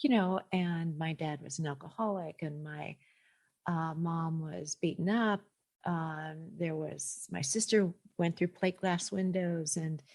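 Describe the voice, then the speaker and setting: A woman with an unremarkable speaking voice talks at a fairly slow pace and fairly low pitch with fairly even intonation, in a very clean recording with a silent background. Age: 60s. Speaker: listener. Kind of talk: testimony.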